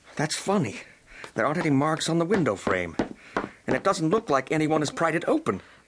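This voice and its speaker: In a gruff, put-on character voice, a man speaks at a fairly high pitch and a fairly quick pace, with long, frequent pauses and very even loudness. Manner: gruff, irritable, skeptical.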